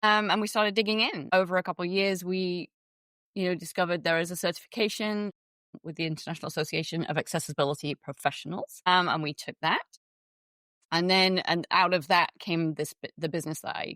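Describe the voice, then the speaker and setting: A woman with an English accent talks at a very fast pace in a fairly low pitch. Her tone is bright and sharp, with ordinary pitch variation. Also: dry, close sound with no echo. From England. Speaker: web accessibility consultant and business owner. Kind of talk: podcast interview.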